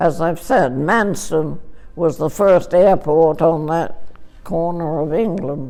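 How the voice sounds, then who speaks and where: Music plays in the background as a woman with a very deep, low voice speaks at a very slow pace. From England. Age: 80s+. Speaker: war veteran. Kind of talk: interview answer. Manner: hesitant.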